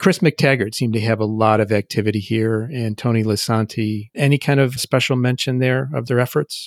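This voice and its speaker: In an ordinary speaking voice, a man talks at a fairly quick pace with a medium pitch, fairly even intonation and hardly any pauses, on a very clean, dry, close recording with no echo and a silent background. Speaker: podcast host. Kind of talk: interview, conversational.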